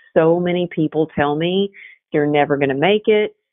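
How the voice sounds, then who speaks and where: Fairly quick in pace, a woman speaks with a Texas accent. Her pitch is very deep and low. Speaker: resilience coach and author. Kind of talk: interview conversation. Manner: animated.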